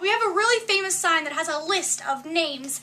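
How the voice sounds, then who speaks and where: A woman's raised, projected voice with an American accent, extremely high in pitch with very wide swings, at a fairly quick pace amid noticeable background noise. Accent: slight Maine accent, worked to avoid it. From Maine, US. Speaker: vlogger. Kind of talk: casual vlog. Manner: animated.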